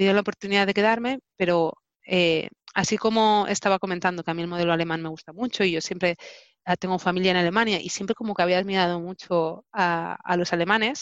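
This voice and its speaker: A woman's voice at a medium pitch, with ordinary pitch variation and a very fast pace. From Spain, Barcelona. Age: 30s. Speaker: telecommunications engineer. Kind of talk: interview. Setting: video recording.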